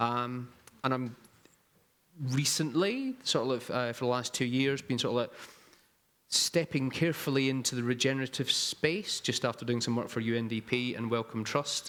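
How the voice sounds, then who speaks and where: In a Scottish accent, a man with a medium-pitched voice talks at a moderate pace with fairly even intonation. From Scotland. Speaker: strategic designer. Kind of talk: panel discussion.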